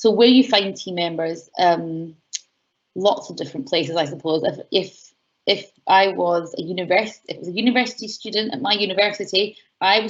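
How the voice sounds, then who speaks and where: Big swings in loudness mark this fairly quick delivery with ordinary pitch variation. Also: woman. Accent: Scottish. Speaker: university enterprise educator. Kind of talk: online workshop Q&A. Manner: fast; animated.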